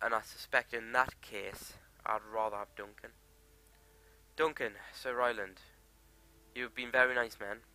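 A man with a slight Geordie accent, a bright, sharp tone and long, frequent pauses, in a dry sound with no echo. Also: moderate pace, big swings in loudness. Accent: mild Geordie. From Newcastle, northern England. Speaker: gaming YouTuber. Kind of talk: let's play commentary. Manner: animated, jokey and sweary. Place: home room. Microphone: headset.

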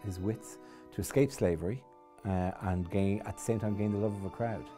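A fairly low-pitched man with ordinary pitch variation, over clear background music. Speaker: comedian and TV host. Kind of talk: interview answer. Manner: casual, humorous. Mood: amused, conversational. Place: studio. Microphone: lapel.

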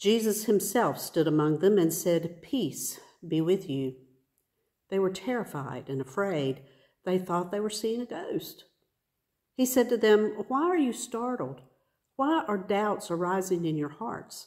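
With long, frequent pauses and very wide pitch swings, a woman speaks at a fairly slow pace against a quiet background. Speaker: pastor or worship leader. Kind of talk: scripture reading. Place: church. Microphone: phone near.

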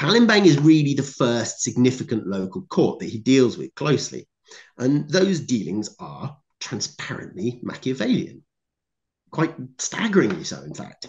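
Over a quiet background, a man speaks at a moderate pace with vocal fry. His pitch swings very wide, and his loudness swings a lot. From Cornwall, England. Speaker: historian and author; conference speaker. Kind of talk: conference talk. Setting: video call. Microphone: video call.

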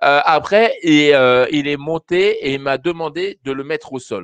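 A man talks at a very slow pace, the sound dry with no echo and the background quiet. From France. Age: 50s. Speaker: dog behaviour trainer. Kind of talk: live call-in advice show. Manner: halting, many fillers. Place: home room. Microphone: studio mic.

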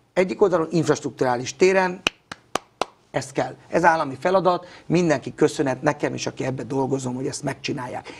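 Over light background noise, a man speaks at a fairly quick pace with a fairly high pitch and ordinary pitch variation. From Hungary. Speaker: youth football coach. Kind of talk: interview. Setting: studio. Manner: outspoken; halting. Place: studio. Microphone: lapel.

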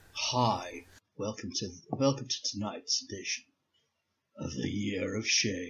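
A husky put-on character voice moves at a very slow pace with long, frequent pauses. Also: man, fairly low pitch for a man. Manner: late-night, relaxed.

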